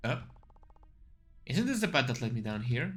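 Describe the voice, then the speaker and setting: A man speaks at a moderate pace in a medium pitch, with lively intonation. The room echo is audible. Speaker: vtuber gamer. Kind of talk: let's play commentary. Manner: halting, repeats words.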